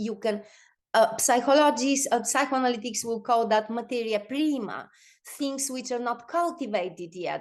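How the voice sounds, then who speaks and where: A woman speaks at a fairly high pitch with ordinary pitch variation against a quiet background. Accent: Bulgarian. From Bulgaria. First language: Bulgarian. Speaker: performance artist. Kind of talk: online talk presentation. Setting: video call. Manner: halting, many fillers and repeats.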